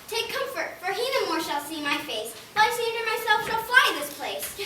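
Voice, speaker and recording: Doing a put-on character voice at an extremely high pitch, a woman speaks at a moderate pace with very wide pitch swings and big swings in loudness, over clear background noise with a slight echo. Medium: stage play.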